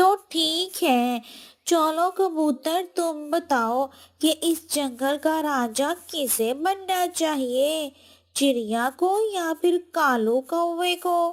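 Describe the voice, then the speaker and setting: A woman puts on a cartoonish character voice, extremely high in pitch and delivered at a very slow pace. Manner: forceful, emphatic.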